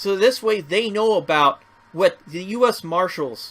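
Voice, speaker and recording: Loud and high-pitched, a man speaks at a fairly slow pace with ordinary pitch variation. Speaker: first amendment auditor. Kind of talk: vlog commentary. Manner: animated.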